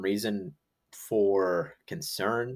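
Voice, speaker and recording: A man talks with a northern US accent. The recording is very clean, with a silent background. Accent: northern US accent, somewhat nasal. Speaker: fantasy football podcast co-host. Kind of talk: casual chat.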